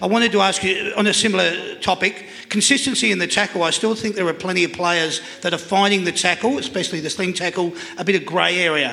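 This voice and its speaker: A raised, projected voice with an Australian accent rushes along at a very fast pace over noticeable background noise. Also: man, high pitch for a man. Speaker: live panel show host. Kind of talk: live panel show hosting. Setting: stage with live audience. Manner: animated.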